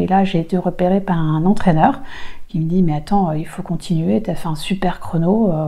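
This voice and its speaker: Here a woman speaks at a moderate pace with a medium pitch. Noticeable background noise runs underneath. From Roubaix, northern France. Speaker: race walker, former elite athlete. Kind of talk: interview answer.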